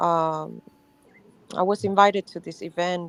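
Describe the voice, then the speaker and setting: A woman with a non-native accent, fairly low pitch and fairly even intonation. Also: dry, close sound with no echo. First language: not English. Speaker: livestream participant. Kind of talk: casual chat.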